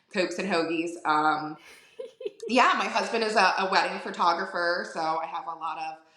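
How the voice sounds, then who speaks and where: A woman with a Philadelphia accent speaks at a fairly low pitch, with audible room echo and noticeable background noise. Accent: Philadelphia-area (Delco). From Delaware County, Pennsylvania (Philadelphia area). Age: 40s. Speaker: florist. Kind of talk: casual interview chat. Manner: filler-heavy, repeats words.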